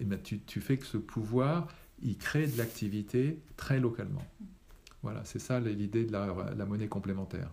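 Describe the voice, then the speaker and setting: The voice has a dark, mellow tone with vocal fry. It moves at a fairly slow pace. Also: man, medium pitch for a man, lively intonation. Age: 60s. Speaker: retired engineer, repair café founder. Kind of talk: interview. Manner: halting.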